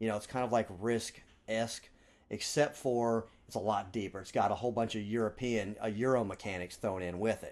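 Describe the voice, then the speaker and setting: A man with a plain, everyday voice speaks fairly quickly at medium pitch, his intonation fairly even. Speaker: board game podcast host. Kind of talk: casual chat.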